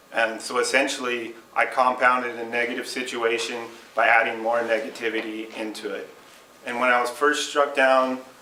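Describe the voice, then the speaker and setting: Medium-pitched male voice with a moderate pace, noticeable background noise, and audible room echo. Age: 30s. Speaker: Lyme disease patient and speaker. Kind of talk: speech to a support group.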